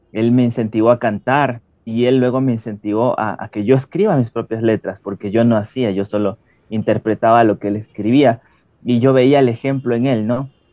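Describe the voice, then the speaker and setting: In a medium pitch, a man speaks at a moderate pace with fairly even intonation. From Ecuador. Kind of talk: testimony. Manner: hesitant with fillers.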